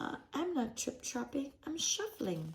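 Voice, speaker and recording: The speaker puts on a high-pitched character voice with very wide pitch swings. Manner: timid, frightened.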